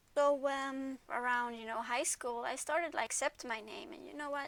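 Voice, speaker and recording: A woman's voice with ordinary pitch variation at a moderate pace. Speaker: vlogger. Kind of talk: casual talk to camera.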